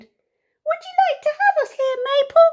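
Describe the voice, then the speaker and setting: Someone puts on a squeaky character voice at an extremely high pitch, moving at a fairly slow pace. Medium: read story.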